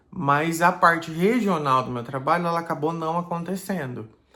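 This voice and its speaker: The tone of this man's voice is bright and sharp. He talks at a fairly slow pace. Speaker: pastor. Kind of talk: personal video blog. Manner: hesitant, casual.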